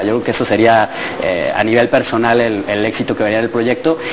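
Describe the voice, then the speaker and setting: A man rattles off his words at a very fast pace, his intonation fairly even, while noticeable background noise carries on. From Mexico, Puebla. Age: 20s. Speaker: project coordinator on digital citizen participation; interview guest. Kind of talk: TV interview. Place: studio.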